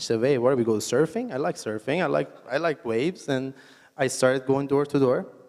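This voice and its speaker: Speaking with an Iranian accent, a man keeps a medium pitch with ordinary variation and a fairly quick pace. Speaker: entrepreneur. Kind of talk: onstage interview.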